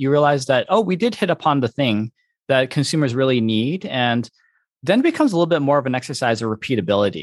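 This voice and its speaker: Talking at a very fast pace, a man uses lively intonation at a medium pitch. The background is quiet, and the sound is dry and close with no echo. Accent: American. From US Midwest, Michigan. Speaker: venture capital investor. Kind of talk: interview. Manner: animated.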